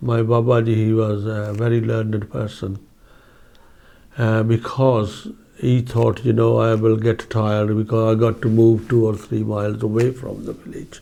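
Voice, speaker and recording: A man speaks at a moderate pace and a medium pitch. His tone is dark and mellow, and his intonation is monotone and flat. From India, Punjab (Phagwara, Jalandhar district). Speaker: oral history interviewee. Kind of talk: oral history interview. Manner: hesitant, many fillers.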